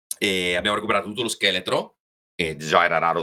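Speaking at a very fast pace, a man has a very deep, low pitch with ordinary pitch variation. His tone is bright and sharp, with vocal fry. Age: 40s. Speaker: macabre artist and bone collector. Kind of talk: casual chat.

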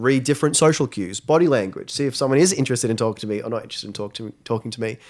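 A medium-pitched male voice at a very fast pace with ordinary pitch variation and big swings in loudness, in a very clean recording with a silent background. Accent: Australian. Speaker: school social media coordinator. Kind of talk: interview. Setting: studio.

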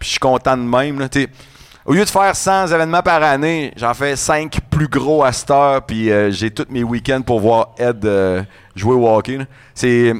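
Using an ordinary speaking voice, a man of medium pitch talks at a fairly slow pace with lively intonation. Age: 40s. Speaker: radio host and event organizer. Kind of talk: casual chat.

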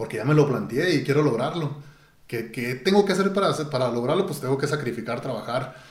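Speaking with a Mexican accent at a fairly quick pace, a man with a fairly high pitch and ordinary pitch variation is heard over noticeable background noise with audible room echo. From Mexico. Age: 40s. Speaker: ultramarathon runner. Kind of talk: interview. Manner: halting, repeats words.

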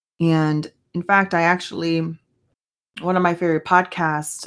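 Here is a woman with a Spanish accent. She talks fairly slowly. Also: very clean recording, silent background. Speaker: podcast host. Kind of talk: solo podcast monologue with faith reflection. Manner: casual, halting with fillers.

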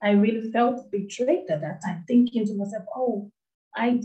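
Dark and mellow in tone, this voice is also somewhat breathy. Its pace is moderate and its pitch variation ordinary. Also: woman. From Nigeria. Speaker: anti-FGM advocate and charity founder. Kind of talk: interview, personal testimony.

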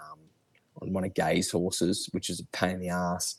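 A man with an Australian accent speaks at a moderate pace in a very clean recording with a silent background. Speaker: horse racing tipster. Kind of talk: casual chat.

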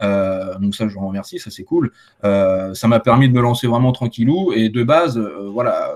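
This man has an ordinary speaking voice at medium pitch, with ordinary pitch variation. He talks at a fairly slow pace, with big swings in loudness. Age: 20s. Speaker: solar panel installer. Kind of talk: casual chat.

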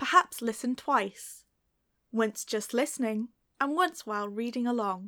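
Delivered in a British accent at a fairly slow pace, the speech has a bright, sharp tone and lively intonation. The sound is dry and close with no echo, on a very clean recording with a silent background. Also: woman. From Britain. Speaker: English teacher. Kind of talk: tutorial. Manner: clear, measured.

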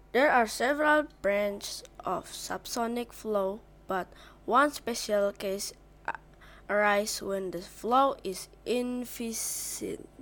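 A woman speaks very slowly in a fairly high voice. Her pitch varies in an ordinary way. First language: not English. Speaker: video creator practicing English. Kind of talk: reading aloud. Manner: self-interrupting; halting.

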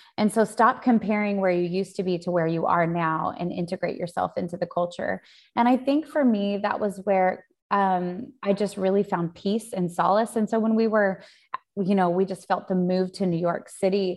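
A woman has a normal speaking voice at a medium pitch. She keeps a moderate pace with ordinary pitch variation. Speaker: pastor and author. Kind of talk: interview. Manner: laughs often.

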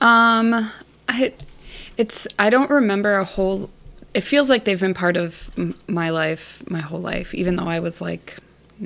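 Speaking with an American accent, the voice moves at a fairly slow pace with ordinary pitch variation. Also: woman. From Minnesota, US. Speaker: guest, family friend. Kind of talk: casual chat.

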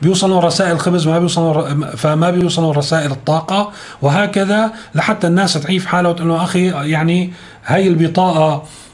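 A man with a high pitch and fairly even intonation speaks at a moderate pace and very even loudness, with audible room echo and noticeable background noise. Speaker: news commentator. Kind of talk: news commentary monologue.

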